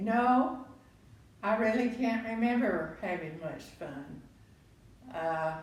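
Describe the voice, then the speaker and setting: A woman with a Texan accent at a very slow pace, lively intonation, audible room echo and noticeable background noise. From Texas, Waco. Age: 90s. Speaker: grandparent interviewee. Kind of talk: family interview. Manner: halting.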